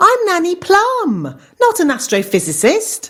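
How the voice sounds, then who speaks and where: A squeaky, female-sounding put-on character voice pitched extremely high. It moves at a fairly slow pace. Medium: cartoon. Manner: brisk, blunt.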